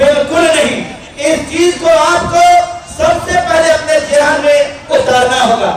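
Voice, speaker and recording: A man's extremely high-pitched voice, very even in loudness and fairly even in intonation, with audible room echo and crowd noise in the background. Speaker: political speaker. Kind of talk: political rally speech. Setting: stage with audience, PA system. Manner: oratorical, impassioned.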